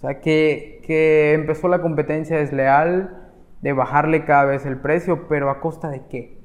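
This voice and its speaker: A man speaks at a fairly slow pace with a fairly high pitch and monotone, flat intonation. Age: 20s. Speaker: barber. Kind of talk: interview.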